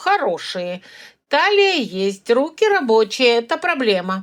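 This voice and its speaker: A woman speaks in a put-on character voice, pitched fairly high. Her pace is fairly slow, and her pitch swings very widely. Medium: read story. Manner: curt, skeptical.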